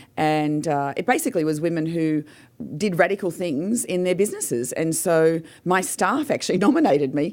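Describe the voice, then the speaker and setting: A woman with an Australian accent talks at a fairly quick pace in a fairly low voice, her intonation lively, on a very clean recording with a silent background. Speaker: business owner and motivational speaker. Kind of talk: radio interview.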